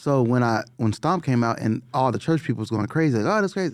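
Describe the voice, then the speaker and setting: Very fast and with lively intonation, a man talks at a medium pitch. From Los Angeles (Watts, South Central). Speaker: music producer. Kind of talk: casual chat. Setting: studio. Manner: animated.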